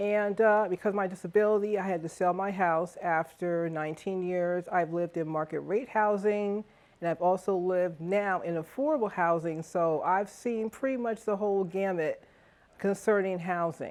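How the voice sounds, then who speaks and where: At a moderate pace, this unremarkable speaking voice moves with ordinary pitch variation. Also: woman, medium pitch for a woman. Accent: American. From Stamford, Connecticut (US Northeast). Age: 60s. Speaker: charter revision commission member. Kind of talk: testimonial interview. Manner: conversational with filler words.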